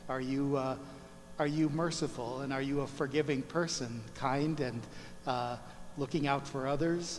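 A man's monotone voice with flat intonation over light background noise. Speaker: priest. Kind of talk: sermon. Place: church.

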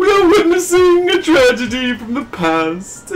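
A man puts on a character voice at a moderate pace, with clear background noise behind him. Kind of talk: mock-dramatic game dialogue reading. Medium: game stream.

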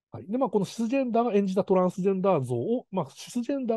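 Against a quiet background, with a dry, close sound and no echo, a man with a high, dark, mellow voice speaks at a very fast pace. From Kanazawa, Ishikawa, Japan. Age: 40s. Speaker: film director. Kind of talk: lecture. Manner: hesitant, many fillers.

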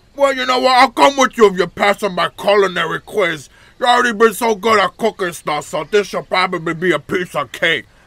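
A man's cartoonish character voice, high-pitched and fairly quick, with hardly any pauses. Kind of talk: cartoonish game character voice. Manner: cheery, punning, teasing.

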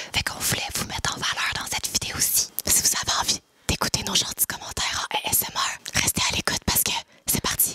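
Whispering, a woman speaks at a fairly quick pace. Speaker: YouTube duo host. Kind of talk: ASMR reading of viewer comments. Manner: whispered. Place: home room. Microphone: studio mic.

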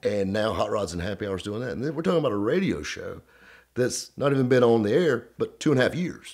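A man with a Southern US accent speaks at a fairly quick pace with very wide pitch swings against a quiet background. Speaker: automotive radio host. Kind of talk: storytelling to camera. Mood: upbeat storytelling, laughing.

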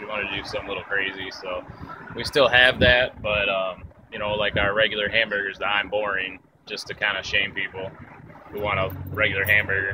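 A man talks at a fairly quick pace and fairly low pitch. The sound is dry with no echo, over noticeable background noise. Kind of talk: interview answer. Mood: cheerful, relaxed. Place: street. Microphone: phone near.

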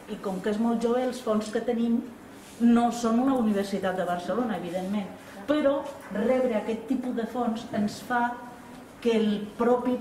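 The fairly slow delivery comes with light background noise and audible room echo. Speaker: exhibition curator. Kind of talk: formal speech at event. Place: hall. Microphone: camera far.

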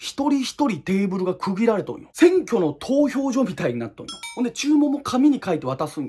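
A man's extremely high voice, animated in tone, at a fairly quick pace with hardly any pauses, very wide pitch swings and big swings in loudness. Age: 20s. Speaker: YouTuber. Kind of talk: casual ranking monologue.

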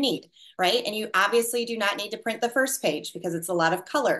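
A woman's pitch varies in an ordinary way, with a quiet background behind her. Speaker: network marketing team leader. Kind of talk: group call briefing. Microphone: video call.

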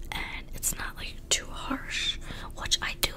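Whispering in a breathy voice, a woman talks at a very slow pace. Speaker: beauty ASMR creator. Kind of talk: soft-spoken makeup chat. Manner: breathy close-mic whisper. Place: home room. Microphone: studio mic.

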